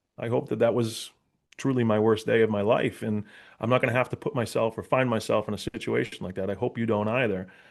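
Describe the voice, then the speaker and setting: Talking at a very fast pace in a Boston accent, a man keeps a monotone, flat intonation. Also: medium pitch for a man. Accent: Boston area. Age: 40s. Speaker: police officer and public speaker. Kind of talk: interview conversation. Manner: casual, with many fillers and repetitions.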